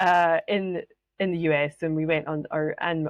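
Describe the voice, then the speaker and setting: The woman's pitch is very deep and low. Her intonation stays fairly even. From Scotland. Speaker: podcast host, business mentor. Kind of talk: solo podcast monologue.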